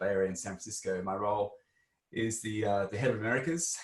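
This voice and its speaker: With an Australian accent, a man talks very fast at a fairly low pitch. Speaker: tech executive. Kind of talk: panel discussion.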